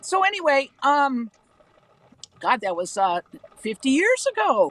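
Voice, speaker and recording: Speaking at a fairly slow pace, a woman with a high pitch swings very widely in pitch, the sound dry and close with no echo. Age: 70s. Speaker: former cult member confessing. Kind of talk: live stream interview.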